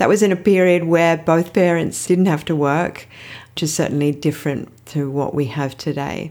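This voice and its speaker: An Australian accent comes through with ordinary pitch variation. The recording is very clean, with a silent background. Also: woman. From Australia (Sydney). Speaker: podcast host, financial therapist. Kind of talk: solo podcast monologue.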